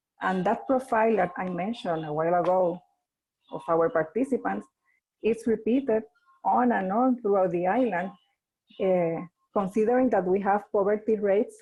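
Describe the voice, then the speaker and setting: Woman with a Spanish accent, medium pitch, ordinary pitch variation and a moderate pace. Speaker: NGO leader. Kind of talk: webinar presentation. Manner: halting.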